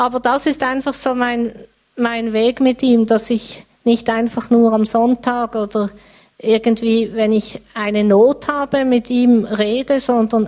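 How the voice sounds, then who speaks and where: Speech comes at a very slow pace with fairly even intonation. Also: woman. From Switzerland, Basel area (Riehen). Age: 50s. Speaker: church member. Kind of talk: interview testimony.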